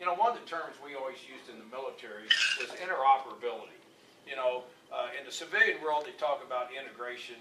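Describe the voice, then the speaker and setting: Over noticeable background noise, a man with a fairly high pitch talks very fast, with ordinary pitch variation and big swings in loudness. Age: 60s. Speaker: political candidate. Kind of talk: campaign speech with Q&A.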